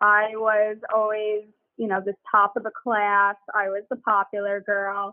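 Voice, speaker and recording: At a fairly slow pace, a woman with an American accent talks in an ordinary speaking voice of medium pitch. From US, Long Island, New York. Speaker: business founder. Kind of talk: casual interview.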